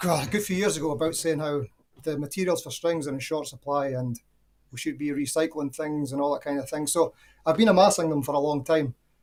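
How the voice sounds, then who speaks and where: The man's fairly high voice races along at a very fast pace, its pitch varying in an ordinary way. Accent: Scottish. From Scotland. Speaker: caller. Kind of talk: casual chat.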